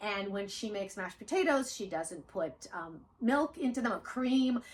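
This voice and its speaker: The voice is animated and somewhat breathy, with very wide pitch swings. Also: woman, fairly high pitch for a woman, moderate pace. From Odessa, Ukraine (USSR). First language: Russian. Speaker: author and channel host. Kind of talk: casual chat with her daughter.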